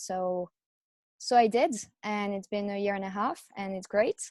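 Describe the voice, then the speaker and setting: A woman talks at a moderate pace in a dry, close recording with no echo. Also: very clean recording, silent background. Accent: French. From France. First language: French. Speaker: chiropractor, practice owner. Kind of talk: casual interview.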